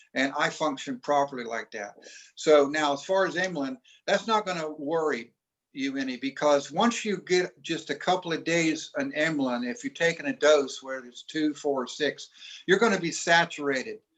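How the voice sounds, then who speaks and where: At a moderate pace, a man speaks with a fairly high pitch and lively intonation. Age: 60s. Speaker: doctor and health entrepreneur. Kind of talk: Q&A on a group call. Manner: halting, with many fillers and restarts.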